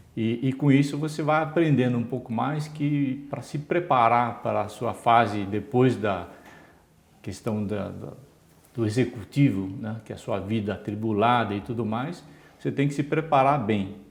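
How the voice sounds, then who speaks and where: A man with a plain, everyday voice speaks at a moderate pace with a medium pitch and ordinary pitch variation. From Brazil, São Paulo state interior. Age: 60s. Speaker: retired engineer and former executive. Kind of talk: interview.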